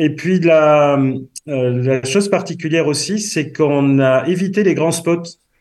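A man talks with a southwestern French accent. His pitch is fairly high. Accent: southwestern French, noticeable. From southwest France. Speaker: association member, guest. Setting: phone call, remote.

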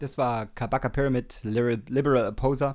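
With a Saxon accent, a man speaks at a fairly quick pace and medium pitch, his intonation fairly even, on a very clean recording with a silent background. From Saxony, Germany. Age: 30s. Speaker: radio DJ. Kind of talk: casual radio show hosting. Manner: casual, with many fillers.

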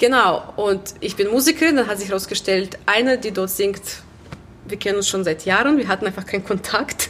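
A woman at a medium pitch, fairly quick, with ordinary pitch variation and noticeable background noise. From Belarus, Minsk. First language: Russian or Belarusian (speaking German). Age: 20s. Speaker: musician and choir organiser. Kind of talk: casual interview. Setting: gallery venue.

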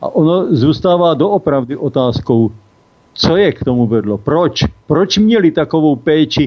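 A man's voice with lively intonation. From Czechia, South Moravia. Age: 60s. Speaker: cannabis legalization activist, caregiver father. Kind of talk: interview. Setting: phone call.

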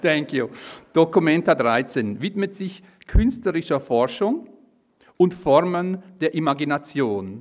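A man's fairly high voice with a Swiss accent and lively intonation, at a fairly slow pace. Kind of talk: reading aloud.

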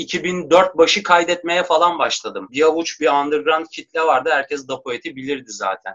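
Ordinary pitch variation in a man's fairly high voice, a normal speaking voice. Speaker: rapper. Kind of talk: casual chat.

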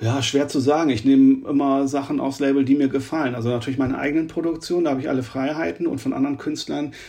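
A man's fairly high voice at a very fast pace with hardly any pauses and fairly even intonation, over noticeable background noise. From northern Germany, Oldenburg. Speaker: techno DJ, producer and label owner. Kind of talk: interview.

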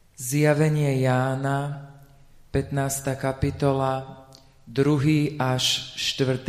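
A man with a fairly high pitch speaks very slowly in a flat monotone, with long, frequent pauses. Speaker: lay scripture reader. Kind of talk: reading aloud. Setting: church.

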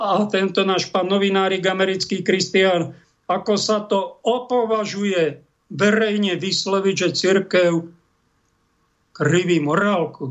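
A man with a high pitch keeps his loudness very even. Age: 50s. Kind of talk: religious commentary monologue. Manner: animated.

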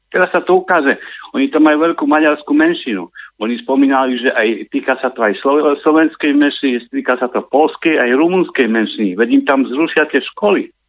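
Ordinary pitch variation marks a plain, everyday voice. The delivery runs fairly quick. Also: man, fairly high pitch for a man. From eastern Slovakia, Michalovce. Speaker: caller. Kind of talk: phone-in call. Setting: phone call.

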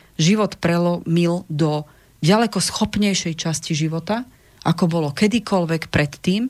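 A woman with an unremarkable speaking voice, fairly low in pitch, at a moderate pace with ordinary pitch variation, on a very clean recording with a silent background. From Czech Republic, Prague. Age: 40s. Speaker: relationship counselor. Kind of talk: radio interview. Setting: studio.

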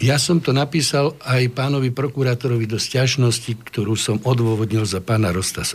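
His pitch rises and falls in an ordinary way. The voice of this man is medium in pitch. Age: 60s. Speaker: defense lawyer. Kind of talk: studio interview. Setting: studio. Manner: halting.

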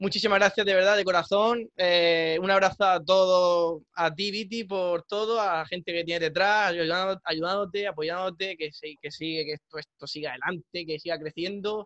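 With a bright, sharp tone and a high pitch, a man talks at a moderate pace with fairly even intonation and hardly any pauses, recorded dry and close with no echo. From Murcia, Spain. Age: 20s. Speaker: DJ and music producer. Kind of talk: interview.

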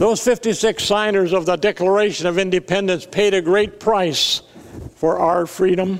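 Over noticeable background noise, a man with an American accent and a high pitch speaks at a fairly slow pace. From US Midwest (South Dakota). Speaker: pastor. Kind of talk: sermon.

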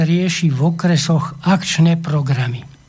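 Audible room echo surrounds a man speaking fairly slowly in a high voice with ordinary pitch variation. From Slovakia, Levice district. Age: old. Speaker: economics professor. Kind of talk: radio interview, explanatory. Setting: studio.

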